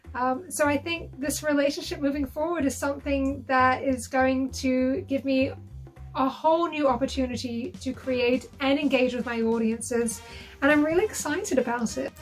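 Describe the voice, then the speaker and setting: With music in the background, a woman talks at a moderate pace in a high pitch, using ordinary pitch variation. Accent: British. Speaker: burlesque performer. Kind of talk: interview answer.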